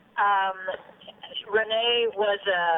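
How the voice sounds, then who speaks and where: There is noticeable background noise as a woman speaks at medium pitch. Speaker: former radio news reporter and city council member. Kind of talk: interview.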